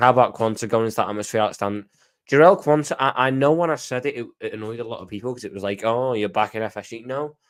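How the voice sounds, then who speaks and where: With a Scouse accent, a man talks at a very fast pace, his pitch moving in an ordinary way. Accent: Scouse (Liverpool English). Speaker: football fan commentator. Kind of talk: casual livestream chat reading comments. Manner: animated.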